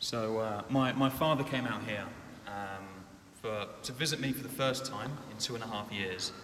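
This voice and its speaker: Ordinary pitch variation runs through this voice, set against noticeable background noise. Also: man, medium pitch for a man, moderate pace. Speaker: church member sharing testimony. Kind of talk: testimony. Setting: church.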